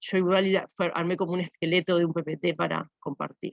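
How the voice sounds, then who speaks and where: Recorded with a dry, close sound and no echo, a woman speaks in a fairly low pitch with monotone, flat intonation. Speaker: university lecturer. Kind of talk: lecture. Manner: halting.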